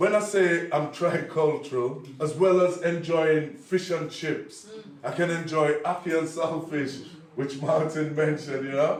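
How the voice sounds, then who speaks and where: A man with a fairly high pitch speaks through audible room echo and noticeable background noise. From Liverpool, England, Jamaican family. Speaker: poet. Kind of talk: conference talk. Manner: animated.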